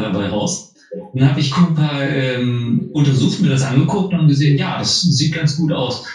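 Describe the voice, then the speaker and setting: At a moderate pace, a man with a fairly high pitch and ordinary pitch variation speaks with audible room echo. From Harz, Saxony-Anhalt, Germany. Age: 30s. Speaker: field engineer. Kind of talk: casual chat.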